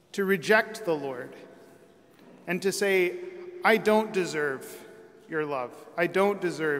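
The speaker is a man with a high pitch. The rise and fall of his pitch is ordinary. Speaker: priest. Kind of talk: sermon. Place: church. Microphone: podium.

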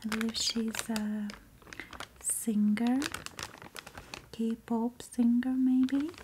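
Over noticeable background noise, a soft-spoken woman talks at a very slow pace with long, frequent pauses. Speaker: ASMR creator. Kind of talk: soft-spoken ASMR unboxing. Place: home room. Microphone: earbuds.

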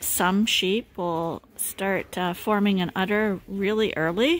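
A woman speaks at a very slow pace with ordinary pitch variation. The sound is dry with no echo. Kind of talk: casual farm vlog explanation. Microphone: phone near.

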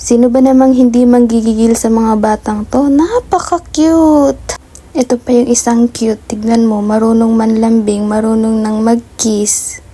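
Fairly high-pitched woman, fairly slow yet with hardly any pauses, very even in loudness, against noticeable background noise. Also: ordinary pitch variation. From Philippines, Tarlac. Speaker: vlogger. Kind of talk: casual vlog narration.

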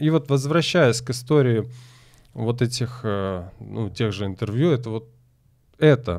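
A man with medium pitch talks at a fairly slow pace against a quiet background. His pitch varies in an ordinary way. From Crimea (Simferopol); Crimea. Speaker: tango teacher. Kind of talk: casual chat. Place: studio. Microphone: studio mic.

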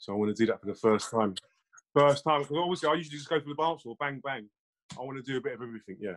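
A man with a London accent talks at a very fast pace with a fairly high pitch. His intonation is lively, and his loudness swings widely. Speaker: music producer. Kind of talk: casual chat. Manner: quiet, reserved.

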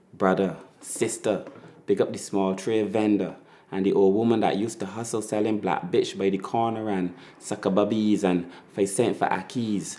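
With a Barbadian accent, a man talks in a dark, mellow tone at a fairly low pitch, his intonation fairly even. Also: moderate pace. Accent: Barbadian (Bajan). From Barbados. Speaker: spoken word poet. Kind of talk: spoken word poetry performance. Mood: proud, nostalgic, warm.

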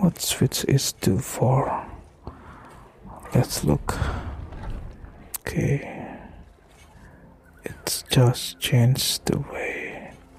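A soft-spoken man whispers at a very slow pace, with long, frequent pauses. Noticeable background noise sits behind him. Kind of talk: ASMR gameplay commentary. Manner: whispered, slow, soft-spoken.

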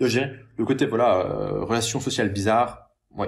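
Vocal fry runs through this man's voice. He keeps a moderate pace and lively intonation. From France, Paris. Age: 30s. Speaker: online entrepreneur and YouTuber; YouTuber. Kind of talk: monologue responding to a critical comment. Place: home room. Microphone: webcam.

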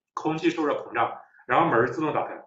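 A man speaks with ordinary pitch variation. Audible echo fills the room. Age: young. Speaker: young scholar, author; guest. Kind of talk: lecture-style discussion. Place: home room. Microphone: video call.

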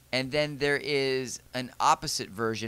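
Recorded dry with no echo, a man's voice has a bright, sharp tone. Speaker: podcast co-host. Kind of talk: casual review discussion. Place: shop. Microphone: handheld.

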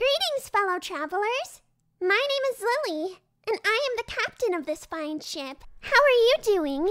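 Bubbly and excited, a woman speaks at a moderate pace with an extremely high pitch and very wide pitch swings. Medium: comedy sketch. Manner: bubbly, bossy, childishly excited.

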